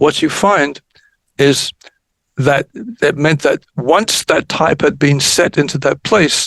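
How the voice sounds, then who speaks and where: A man speaks at a very slow pace and a fairly high pitch. His loudness stays very even. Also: ordinary pitch variation. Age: 70s. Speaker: electroacoustic music pioneer. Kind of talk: podcast interview. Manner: halting, with repeated words.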